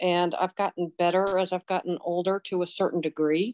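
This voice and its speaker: A woman speaks in a plain, everyday voice at a medium pitch with fairly even intonation. The sound is dry and close with no echo, over a quiet background. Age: 60s. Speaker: participant, dog trainer with small farm. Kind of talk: casual chat.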